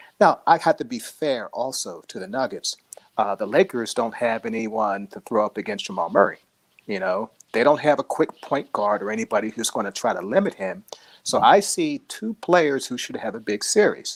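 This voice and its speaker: Quietly, a man speaks at medium pitch and a moderate pace, with very wide pitch swings and big swings in loudness. The sound is dry and close with no echo. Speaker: sports writer. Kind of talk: sports analysis interview.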